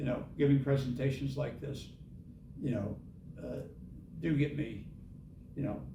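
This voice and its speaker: A man with a medium-pitched, dark, mellow voice shows vocal fry and ordinary pitch variation. He leaves long, frequent pauses, and the room echo is audible. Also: moderate pace. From US Midwest, Indianapolis, Indiana. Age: 70s. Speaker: author and Vietnam veteran. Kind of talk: author talk Q&A.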